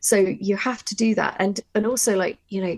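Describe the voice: A woman speaks with a slightly mellow tone and fairly even intonation. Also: medium pitch for a woman, moderate pace.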